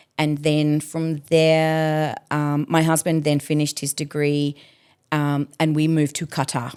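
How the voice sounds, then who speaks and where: Speaking with an Australian accent, a woman uses a very deep, low pitch and a monotone, flat intonation at a fairly slow pace. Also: very clean recording, silent background. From Adelaide, Australia. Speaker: educator and artist manager. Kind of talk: interview answer.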